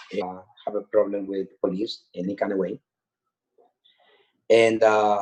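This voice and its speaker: A man speaks with a Spanish accent. His pitch is fairly low. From Honduras. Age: 40s. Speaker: death row exoneree. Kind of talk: testimony.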